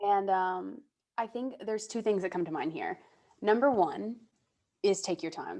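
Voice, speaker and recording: A woman's medium-pitched, dark, mellow voice at a moderate pace, with ordinary pitch variation and long, frequent pauses. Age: 20s. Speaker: digital entertainment host. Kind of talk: casual interview.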